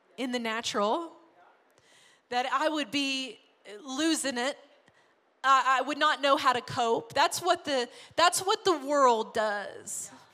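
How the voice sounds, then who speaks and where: Raised and projected, a woman's bright, sharp, high voice in an American accent carries lively intonation at a very slow pace with long, frequent pauses. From US South, small-town Arkansas. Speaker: pastor. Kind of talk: sermon. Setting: church. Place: stage. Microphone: handheld.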